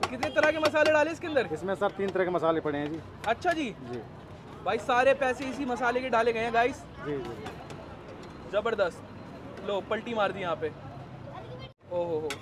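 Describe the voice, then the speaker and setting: Crowd noise behind a man talking at a fairly slow pace. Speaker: food vlogger. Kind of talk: casual vlog commentary. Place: street.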